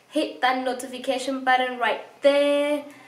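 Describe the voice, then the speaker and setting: A woman with a high pitch speaks in an animated tone, with audible room echo and noticeable background noise. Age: 20s. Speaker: fitness vlogger. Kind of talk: product review vlog. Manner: casual, animated.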